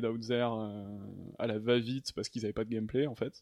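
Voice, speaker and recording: A man speaks very fast in a monotone, flat way. The sound is dry and close, without echo. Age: 30s. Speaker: video game programmer. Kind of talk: casual chat.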